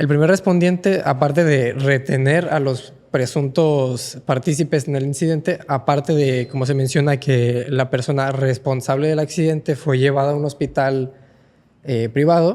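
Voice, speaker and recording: Speaking at a fairly slow pace, a man with a fairly high pitch has a dark, mellow tone and fairly even intonation. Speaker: legal and political commentator. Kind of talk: podcast analysis discussion.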